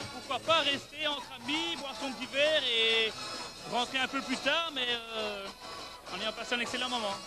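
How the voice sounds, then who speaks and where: A raised, projected voice carries at a moderate pace. Music sits in the background. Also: man. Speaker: bar and restaurant owner. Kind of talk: TV interview answer and venue tour.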